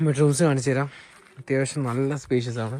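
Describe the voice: At a fairly quick pace, a man speaks in a medium pitch with a slightly mellow tone and fairly even intonation.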